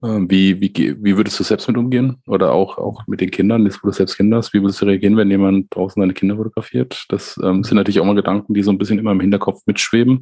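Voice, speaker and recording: A man's fairly low voice, dark and mellow in tone, with fairly even intonation at a very fast pace. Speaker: podcast host. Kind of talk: casual chat. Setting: video call. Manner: halting, many fillers.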